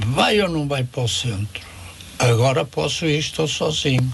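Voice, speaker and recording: A man's voice over noticeable background noise. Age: 80s+. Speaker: elderly day centre user, widower. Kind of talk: radio interview.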